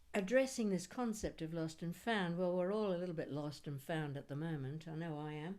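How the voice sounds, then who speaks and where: A normal speaking voice from a woman, fairly low in pitch, with lively intonation and a fairly quick pace. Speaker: poet. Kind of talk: casual introduction to an audience.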